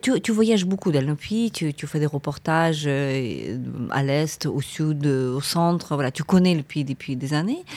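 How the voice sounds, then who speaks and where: A woman speaks at a very slow pace with a very deep, low pitch and ordinary pitch variation. The recording is very clean, with a silent background. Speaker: podcast host, academic and journalist. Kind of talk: interview conversation.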